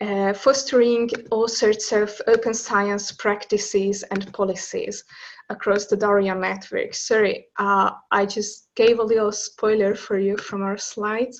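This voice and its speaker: With a Hungarian accent, a woman speaks at a fairly slow pace and a fairly high pitch. Her intonation is monotone and flat. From Hungary. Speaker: open science officer, linguist. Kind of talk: webinar presentation. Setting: online webinar.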